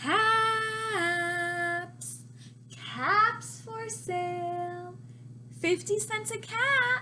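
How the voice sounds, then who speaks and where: Using a put-on character voice, a woman speaks at a very slow pace with long, frequent pauses. Clear background noise is present. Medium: read story. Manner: slow, calling out wares.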